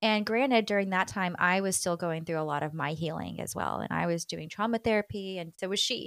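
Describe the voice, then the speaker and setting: A woman with an American accent at a fairly quick pace, hardly any pauses, ordinary pitch variation, and a dry, close sound with no echo. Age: 30s. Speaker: company founder and CEO. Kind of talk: interview conversation. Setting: studio.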